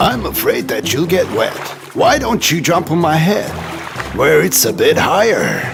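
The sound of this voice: Using a cartoonish character voice, a man speaks fairly slowly at a fairly high pitch, with vocal fry and very wide pitch swings. Clear music plays in the background.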